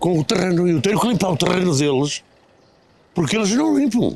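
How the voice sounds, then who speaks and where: Pitched high, a man's voice carries lively intonation. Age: 70s. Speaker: member of the public, landowner. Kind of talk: street interview.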